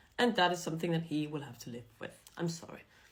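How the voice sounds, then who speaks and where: A woman speaks with a German accent at a fairly low pitch. Audible room echo surrounds her voice. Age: young. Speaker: vlogger. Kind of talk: casual monologue to camera.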